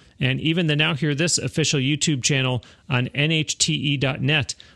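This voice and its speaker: A man with a fairly high pitch and a bright, sharp tone talks at a moderate pace with fairly even intonation, the sound dry and close with no echo over a quiet background. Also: very even loudness. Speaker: podcast host. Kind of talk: interview. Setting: studio.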